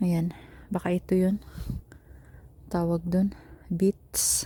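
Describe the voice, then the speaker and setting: A woman speaks in a Bisaya accent at a very slow pace. Her fairly low voice is somewhat breathy, with monotone, flat intonation. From Philippines. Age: 40. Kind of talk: casual vlog talk while walking. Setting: outdoors.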